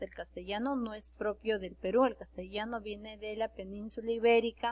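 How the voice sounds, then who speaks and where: In an Andean accent, a woman speaks at a fairly slow pace. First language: Quechua (speaking Spanish). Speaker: secondary school teacher. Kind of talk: online class lecture. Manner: halting, with fillers and self-corrections.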